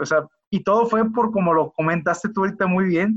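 A man talks at a moderate pace. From Mexico, Culiacán, Sinaloa. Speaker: biotech company executive. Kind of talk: interview. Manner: halting, many repetitions and fillers.

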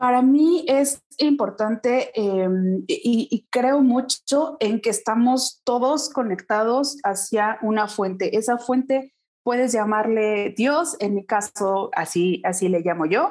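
Over a quiet background, a woman speaks at a very slow pace with very even loudness, a fairly high pitch and lively intonation. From Mexico, Pachuca, Hidalgo. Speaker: small business and time management consultant. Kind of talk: interview.

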